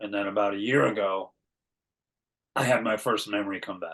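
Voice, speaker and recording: A man with an American accent speaks at a moderate pace in a fairly low voice with fairly even intonation. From California. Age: 60s. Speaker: artist and abuse survivor. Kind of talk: interview testimony. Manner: hesitant, many repeats and fillers.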